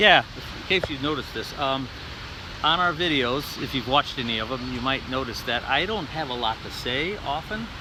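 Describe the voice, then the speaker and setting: Noticeable background noise sits behind a man talking at a moderate pace. His pitch is medium and his intonation lively. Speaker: travel vlogger. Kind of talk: casual chat. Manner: soft-spoken.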